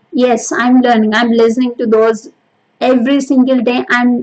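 A woman with a high-pitched voice and a Telugu accent. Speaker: podcast host. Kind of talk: solo motivational monologue. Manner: hesitant, many fillers.

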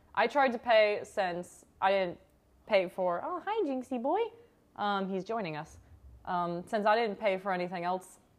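Speaking fairly slowly, this woman has a normal speaking voice, a medium pitch and ordinary pitch variation. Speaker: podcast host. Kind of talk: casual chat. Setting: at home.

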